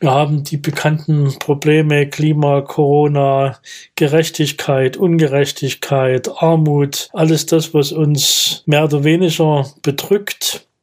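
A man's fairly high, flat monotone, delivered very slowly and at very even loudness. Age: 60s. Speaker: retired mayor and former deacon. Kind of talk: interview answers, reflective.

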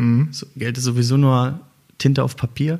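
A man's somewhat breathy voice. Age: 30s. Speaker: social entrepreneur, startup founder. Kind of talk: interview conversation. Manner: halting, many fillers.

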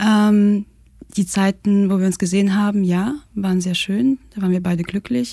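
Speech comes at a moderate pace. The tone is dark and mellow, a little breathy. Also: woman. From Russia. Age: 20s. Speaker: architecture student. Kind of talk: casual chat. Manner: hesitant, many fillers.

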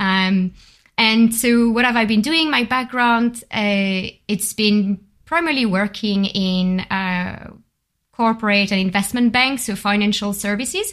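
In a very clean recording with a silent background, a woman talks at a fairly slow pace in a French accent. Her pitch is fairly high, with ordinary pitch variation. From France, Bordeaux. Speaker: workshop facilitator, project coordinator. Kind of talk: casual chat. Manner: animated.

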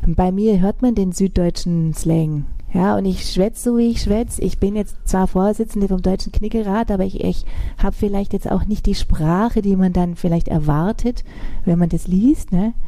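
Speaking with a Swabian accent, a woman keeps a moderate pace and ordinary pitch variation. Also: medium pitch for a woman. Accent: southern German, Swabian. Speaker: style and strategy consultant. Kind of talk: interview answers.

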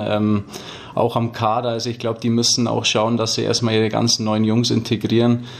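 A man talks at a medium pitch and a moderate pace. His intonation stays monotone and flat. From Füssen, Allgäu, Bavaria. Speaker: ice hockey player. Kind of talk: interview.

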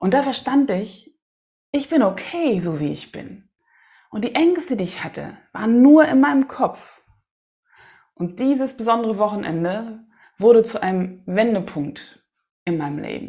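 Speaking at a fairly slow pace with long, frequent pauses, a woman sounds somewhat breathy, with a fairly high pitch, very wide pitch swings, and big swings in loudness. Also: very clean recording, silent background. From Hamburg, northern Germany. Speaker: singer-songwriter and podcast host. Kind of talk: solo podcast monologue.

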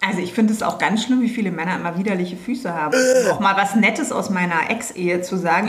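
Delivered at a very fast pace with ordinary pitch variation, the speech carries audible room echo and noticeable background noise. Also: woman. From Berlin (West Berlin). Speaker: business owner. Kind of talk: casual chat.

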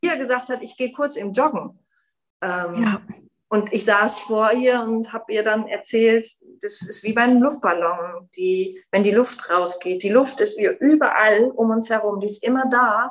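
At a fairly slow pace, a woman speaks in a plain, everyday voice. Her pitch is fairly high, with ordinary pitch variation. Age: 40s. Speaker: yoga teacher and widowed mother. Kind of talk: personal testimony in interview.

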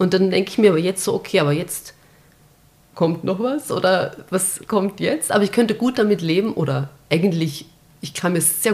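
With an ordinary speaking voice, a woman talks fairly quickly and varies her pitch in an ordinary way. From Austria, Vienna. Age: 30s. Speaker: journalist and former teacher. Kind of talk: casual chat.

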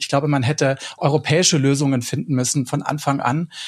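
Somewhat breathy, a man with a fairly high pitch talks at a moderate pace. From Swabia, southern Germany. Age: 40s. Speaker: broadcast journalist. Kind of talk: casual panel discussion.

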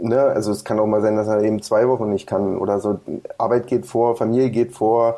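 Monotone and flat, a man with a dark, mellow tone talks fairly quickly at a medium pitch with very even loudness. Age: 30s. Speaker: American football club coach. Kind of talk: interview. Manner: halting, many fillers.

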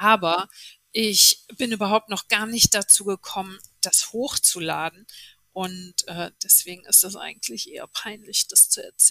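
Here a woman's loudness swings widely. The sound is dry and close, with no echo. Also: fairly slow pace. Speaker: TV journalist and podcaster. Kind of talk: interview.

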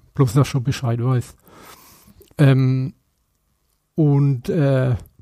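A man speaks at medium pitch with a dark, mellow tone and ordinary pitch variation. The recording is very clean, with a silent background. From Franconia, Bamberg. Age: 50s. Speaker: tattoo artist. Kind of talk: casual chat. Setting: at home.

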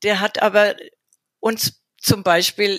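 Dry and close with no echo, the recording captures a woman of medium pitch with vocal fry. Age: 60s. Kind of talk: interview.

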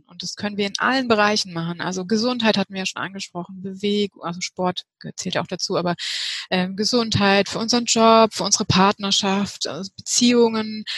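Somewhat breathy, a woman speaks at a fairly high pitch with fairly even intonation in a dry, close sound with no echo. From Heidelberg, southwestern Germany. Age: 30s. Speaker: health coach, women's health expert. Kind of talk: interview.

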